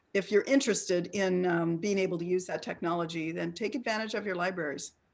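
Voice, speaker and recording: A normal speaking voice from a woman, medium in pitch, fairly quick, with ordinary pitch variation. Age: 60s. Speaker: ageism expert and presenter. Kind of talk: interactive online talk. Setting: video call.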